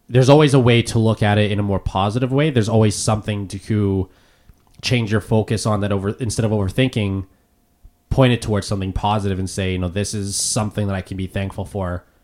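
The speaker talks with a Canadian accent. The pace is very fast, with ordinary pitch variation. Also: man, fairly low pitch for a man. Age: 20s. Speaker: podcast host. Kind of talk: casual chat. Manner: halting.

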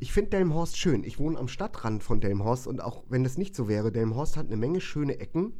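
Speaking at a fairly quick pace, a man with a dark, mellow tone swings his pitch very widely, with audible room echo. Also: medium pitch for a man. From northern Germany, Bremen. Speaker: musician and hairdresser. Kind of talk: casual chat. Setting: home studio.

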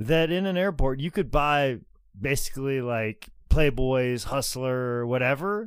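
A man speaks at medium pitch and a fairly slow pace, with ordinary pitch variation. The recording is very clean, with a silent background. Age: 30s. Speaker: wrestling podcast co-host. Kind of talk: casual chat. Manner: animated.

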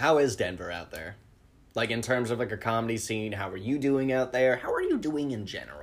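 With ordinary pitch variation, a plain, everyday voice moves along at a fairly quick pace. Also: man, medium pitch for a man. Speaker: podcast host and comic. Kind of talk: casual interview chat.

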